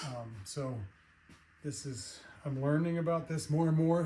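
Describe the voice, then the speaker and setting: A man talks at a fairly slow pace in a fairly high pitch, with ordinary pitch variation and a dark, mellow, somewhat breathy tone. The room echo is audible. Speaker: car restoration hobbyist. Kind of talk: casual chat. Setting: workshop. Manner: soft-spoken; halting.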